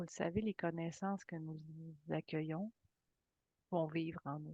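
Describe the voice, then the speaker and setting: A woman talks at a fairly slow pace in a fairly low pitch. Her tone is calm and soothing, with fairly even intonation. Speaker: spiritual teacher and channeler. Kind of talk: guided meditation. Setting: live video session. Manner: calm, soothing.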